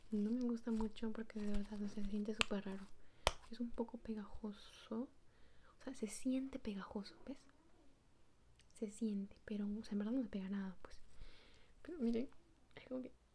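Soft-spoken and relaxed in tone, a woman talks at a fairly high pitch with long, frequent pauses amid noticeable background noise. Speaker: ASMR creator. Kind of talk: ASMR slime unboxing, casual talk to camera. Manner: soft-spoken, relaxed. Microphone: phone near.

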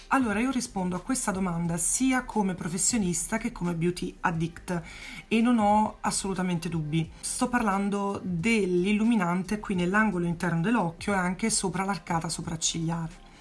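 A somewhat breathy woman at a moderate pace, with very even loudness and ordinary pitch variation. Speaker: makeup artist and beauty YouTuber; beauty vlogger. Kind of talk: casual vlog Q&A. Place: home room. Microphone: phone near.

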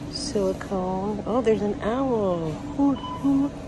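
A woman speaks at a very slow pace over noticeable background noise. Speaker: shopping vlogger. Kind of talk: casual vlog chat. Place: shop. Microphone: phone near.

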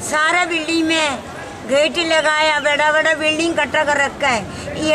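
A woman's voice is raised and projected, at an extremely high pitch. Crowd noise fills the background. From South India. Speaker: protester. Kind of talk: street interview. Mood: aggrieved, indignant. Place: street.

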